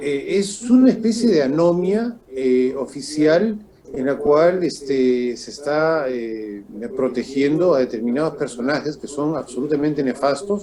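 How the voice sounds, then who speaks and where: A fairly high-pitched man with lively intonation, at a fairly slow pace. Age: 60s. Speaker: political commentator. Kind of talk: political interview. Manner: halting with fillers.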